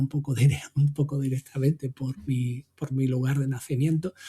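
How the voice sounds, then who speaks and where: Music plays in the background as a man speaks at a moderate pace. His pitch is fairly high. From Extremadura, Spain. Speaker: tech podcast co-host. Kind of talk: casual chat. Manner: halting, many repetitions.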